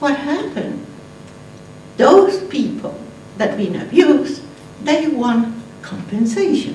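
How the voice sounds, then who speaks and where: A woman with a non-native accent, a high pitch and lively intonation, very slow with long, frequent pauses, amid audible room echo and noticeable background noise. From Argentina. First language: Spanish. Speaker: conference speaker, atheist activist. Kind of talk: conference talk. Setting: stage with audience. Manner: animated.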